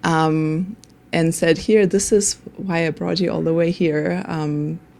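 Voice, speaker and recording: A woman with a German accent speaks very slowly in a fairly low pitch with fairly even intonation. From Germany. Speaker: nonprofit worker. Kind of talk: interview.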